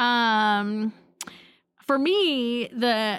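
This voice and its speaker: In an American accent, a woman with an unremarkable speaking voice speaks at a fairly high pitch with ordinary pitch variation, recorded very cleanly against a silent background. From US Pacific Northwest, Portland. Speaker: podcast co-host. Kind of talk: casual chat.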